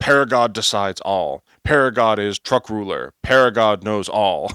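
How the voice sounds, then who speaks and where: A man does a put-on character voice at a medium pitch and moderate pace, in a very clean recording with a silent background. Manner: crude, clipped, grunting.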